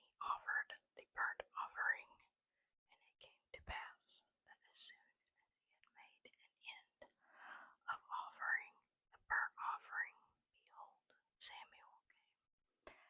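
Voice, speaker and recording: Someone whispers at a fairly slow pace. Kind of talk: whispered Bible reading, ASMR. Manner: whispered.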